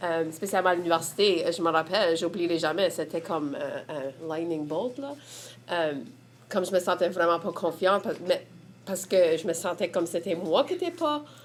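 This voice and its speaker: With an Acadian accent, a woman speaks at a fairly low pitch with ordinary pitch variation. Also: moderate pace. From Prince Edward Island, Évangeline region. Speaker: community member. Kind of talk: testimony.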